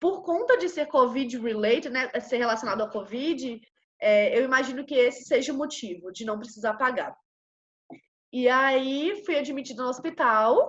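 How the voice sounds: A woman with a Brazilian accent speaks at a moderate pace. Her high voice has lively intonation.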